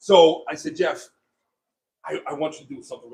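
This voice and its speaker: A loud man speaks at a fairly quick pace. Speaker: pool cover dealer. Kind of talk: casual demo talk.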